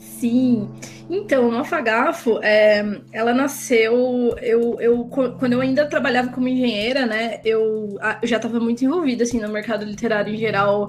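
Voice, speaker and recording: At a moderate pace, a woman speaks with a fairly high pitch and ordinary pitch variation. Audible room echo and noticeable background noise surround her. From Campinas, interior of São Paulo state, Brazil. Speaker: writer, translator and editor. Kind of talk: casual interview chat.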